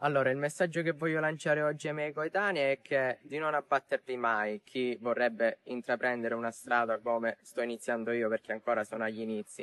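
With hardly any pauses, a man talks at a fairly quick pace with ordinary pitch variation, and the sound is dry with no echo. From Sicily. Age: young. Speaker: TV game show contestant and student. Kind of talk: interview answer. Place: open country. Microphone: lapel.

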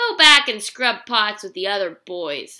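A woman's gruff, growling put-on character voice, fairly high in pitch, at a fairly slow pace. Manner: growling, gruff, bossy.

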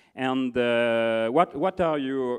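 Over a quiet background, a man talks with a French accent. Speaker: conference moderator; interviewer, event host. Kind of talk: on-stage interview. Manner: halting. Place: stage. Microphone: handheld.

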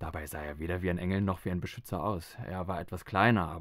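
The man's pitch is very deep and low, with ordinary variation. He speaks at a fairly quick pace on a very clean recording with a silent background. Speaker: audiobook narrator. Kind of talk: literary audiobook reading, first-person novel narration. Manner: measured, atmospheric, dramatic.

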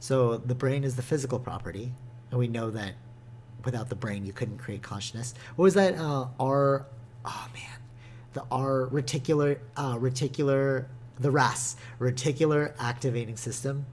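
A somewhat breathy man at a medium pitch, with fairly even intonation, a moderate pace and big swings in loudness. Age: 20s. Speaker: gaming podcast co-host. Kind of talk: casual chat.

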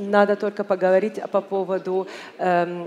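A woman's fairly slow speech, ordinary in its pitch variation, over light background noise. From Egypt. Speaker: business delegate; speaker. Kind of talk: panel talk. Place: hall. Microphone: headset.

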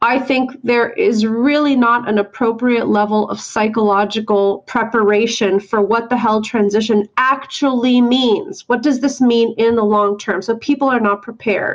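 With a normal speaking voice, a woman talks at a moderate pace and fairly high pitch, her loudness very even, her intonation fairly even, and hardly any pauses. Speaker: therapist and podcast co-host. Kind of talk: interview.

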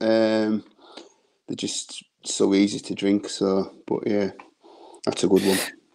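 With a northern English accent, the speaker talks at a very slow pace against a quiet background. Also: man. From northern England. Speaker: beer reviewer. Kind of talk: casual chat. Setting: video call. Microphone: video call.

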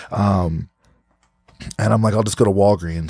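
A man with an American accent talks at a very fast pace in a fairly low voice, recorded dry and close with no echo. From New Jersey. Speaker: podcast host. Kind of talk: casual interview chat. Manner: animated.

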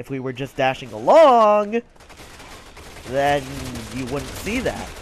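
Very wide pitch swings mark this man's speech, delivered at a very slow pace. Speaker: gaming YouTuber. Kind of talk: casual gameplay commentary. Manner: joking, chatty.

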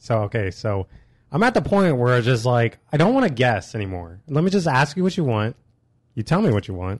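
Very wide pitch swings mark a man speaking at a fairly quick pace in an American accent. The sound is dry with no echo, over a quiet background. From Illinois, Springfield area. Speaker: podcast co-host. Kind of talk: casual chat. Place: studio.

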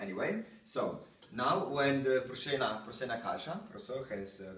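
With big pitch swings and a fairly bright tone, a man talks at a fairly slow pace and medium pitch amid audible room echo.

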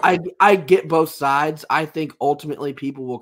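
A man talks at a fairly quick pace in a fairly bright tone, his pitch varying an ordinary amount.

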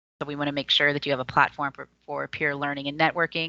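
A woman with an American accent speaks at a very fast pace in a very deep, low voice with a bright, sharp tone and monotone, flat intonation, recorded dry and close with no echo against a quiet background. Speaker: community services presenter. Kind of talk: presentation on a video call.

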